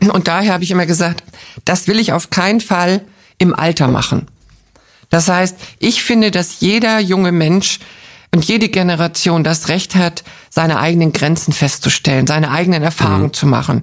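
A woman with a fairly low pitch speaks at a moderate pace, taking long, frequent pauses. Her loudness stays very even on a very clean recording with a silent background. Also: ordinary pitch variation. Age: 60s. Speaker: founder of a charity for older people. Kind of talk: interview. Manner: cheerful, laughs often.

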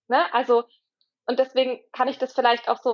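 A woman's high voice moves along at a moderate speed. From southern Baden, Germany. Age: 20s. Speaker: trainee doula. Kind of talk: interview.

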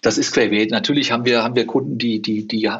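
With ordinary pitch variation, a man speaks in a medium pitch. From Cologne, western Germany. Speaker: retail company CEO. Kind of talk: interview. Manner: halting, frequent repetitions.

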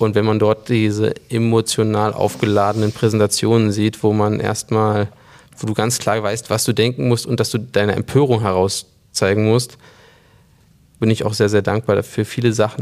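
Speaking at a moderate pace, a man with a fairly low voice keeps his intonation monotone and flat. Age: 20s. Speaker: company co-CEO. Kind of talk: interview conversation.

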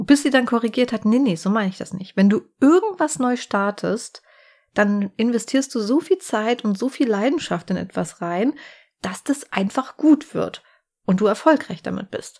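Lively in intonation, a woman speaks at a moderate pace in a somewhat breathy voice. The recording is very clean, with a silent background. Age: 40s. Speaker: podcast host and crime author. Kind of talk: casual chat.

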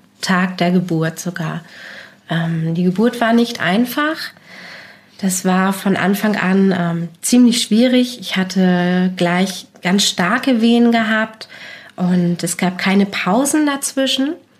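A woman talks at a very slow pace, her voice somewhat breathy. Her pitch varies in an ordinary way. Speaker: mother sharing experience of postnatal depression. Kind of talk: personal testimony in interview.

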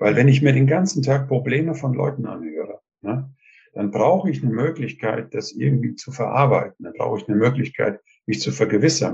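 With vocal fry, a man talks at a fairly quick pace using lively intonation. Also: medium pitch for a man. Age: 70s. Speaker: retired communication trainer and author. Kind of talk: interview. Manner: hesitant, many filler sounds.

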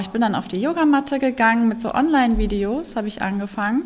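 Noticeable background noise sits under a woman's voice. She talks at a fairly quick pace in a fairly high pitch with ordinary pitch variation. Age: 40s. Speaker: yoga teacher and trauma-sensitive coach. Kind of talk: interview about personal experience of depression. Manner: hesitant with many fillers.

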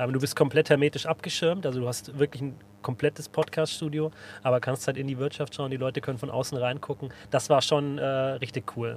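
At a fairly quick pace, a man with an unremarkable speaking voice talks at a fairly high pitch. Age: 30s. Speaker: podcast host from the insurance industry. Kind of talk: casual chat. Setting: podcast studio in a bus.

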